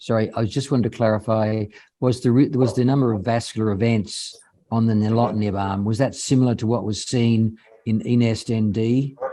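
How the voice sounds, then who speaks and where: With an Australian accent, a man talks at a moderate pace in a medium pitch, his dark, mellow tone kept in monotone, flat intonation. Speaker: professor of hematology. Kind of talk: Q&A discussion.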